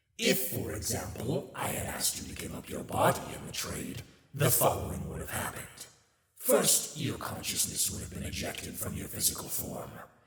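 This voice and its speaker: Delivered at a moderate pace, this put-on character voice sounds raspy, with a slight echo. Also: man, medium pitch for a man. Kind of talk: ASMR roleplay audio. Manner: sassy, mocking.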